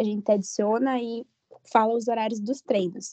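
A woman is talking. Her pace is moderate. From Ponta Grossa, Paraná, Brazil. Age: 20s. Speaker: university student and cheerleading flyer. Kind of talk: casual podcast interview.

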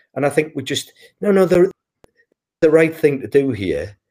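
In a British accent, a man speaks at a moderate pace in a dark, mellow tone. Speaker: physiotherapist and healthcare executive. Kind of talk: casual chat. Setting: video call.

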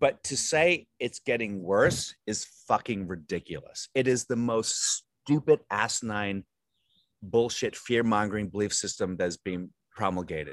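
This is an ordinary speaking voice with an American accent and lively intonation, delivered at a fairly slow pace in a dry, close sound with no echo over a quiet background. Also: man, fairly low pitch for a man. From Virginia, US. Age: 40s. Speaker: comedian and actor. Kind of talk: casual interview. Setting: video call.

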